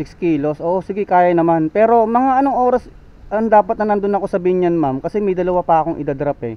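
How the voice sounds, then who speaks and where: A man talks at a very fast pace. His high voice has lively intonation. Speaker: delivery rider motovlogger. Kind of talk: casual vlog narration.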